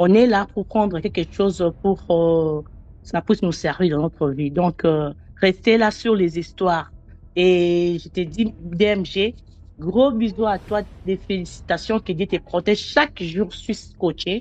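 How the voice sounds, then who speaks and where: Speaking very slowly in a Congolese accent, a woman uses ordinary pitch variation. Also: medium pitch for a woman. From DR Congo. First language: not French (speaks seven languages) (speaking French). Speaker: storyteller sharing personal testimony. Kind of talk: testimony. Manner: halting.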